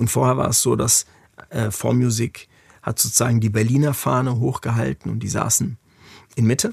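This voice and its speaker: A man's speech with long, frequent pauses, the sound dry and close with no echo. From Germany, Frankfurt. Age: 40s. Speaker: music industry executive. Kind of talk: interview conversation.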